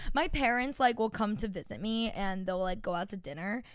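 Here is a woman with a normal speaking voice and an American accent. Her pitch is fairly high and her pace fairly quick. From Long Island, New York. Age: 20s. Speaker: podcast co-host. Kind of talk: casual chat.

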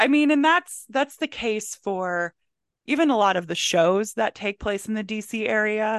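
In a quiet background with a dry, close sound and no echo, a woman uses an unremarkable speaking voice, fairly high in pitch, at a moderate pace. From Maryland, Howard County. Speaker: candle business owner and book content creator. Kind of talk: casual chat.

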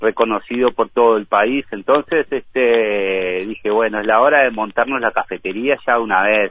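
This man speaks at a medium pitch. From Uruguay, Montevideo. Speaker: Uruguayan emigrant, teacher and café owner. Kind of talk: casual interview.

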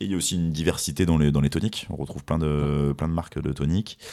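Dark and mellow in tone, a man's voice sits at a very deep, low pitch. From France, Fontainebleau area. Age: 30s. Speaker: spirits brand ambassador. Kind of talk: interview. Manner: halting, many repetitions.

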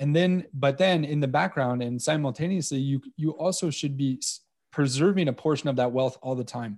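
A man speaks in an ordinary speaking voice at a moderate pace, his fairly high pitch rising and falling in an ordinary way, on a very clean recording with a silent background. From Canada, Montreal. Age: 40s. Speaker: precious metals dealer. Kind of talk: interview.

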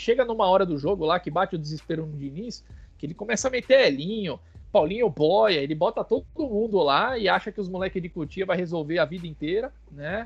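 Ordinary pitch variation marks a man's high-pitched voice. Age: 30s. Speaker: football fan page owner. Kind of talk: casual chat.

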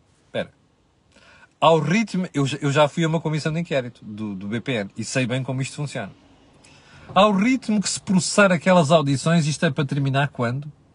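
A man with a European Portuguese accent speaks at a moderate pace in a fairly high, somewhat breathy voice, with an animated tone, lively intonation, and long, frequent pauses. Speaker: economic commentator. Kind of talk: solo commentary.

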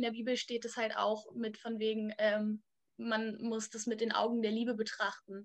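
This is a woman speaking. Her pitch is high. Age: 20s. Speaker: church youth worker. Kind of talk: casual chat.

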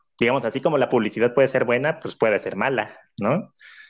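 A man talks with a Mexican accent. His pace is moderate. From Mexico, Cancún. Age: 20s. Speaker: cultural manager, former clarinetist. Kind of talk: interview. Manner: hesitant, many fillers.

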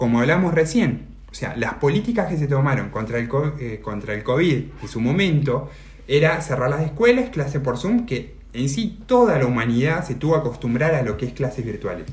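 A man with an Argentine accent speaks at a moderate pace with lively intonation and a fairly high pitch. Audible room echo and noticeable background noise fill the recording. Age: 30s. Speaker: podcast host. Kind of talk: interview.

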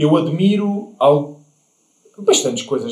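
At a fairly slow pace, a man speaks with ordinary pitch variation in audible room echo. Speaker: podcast host. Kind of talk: casual interview chat.

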